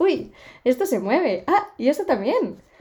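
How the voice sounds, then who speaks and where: In a dark, mellow tone, a woman speaks with very wide pitch swings. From Spain, Barcelona. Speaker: podcast host. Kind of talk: casual chat.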